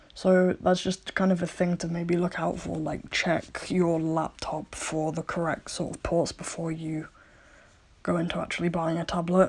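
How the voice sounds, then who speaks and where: The speaker mumbles. Their intonation stays flat and monotone. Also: woman, fairly low pitch for a woman, moderate pace. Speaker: digital artist. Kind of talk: casual product review to camera. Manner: mumbling, hesitant with fillers.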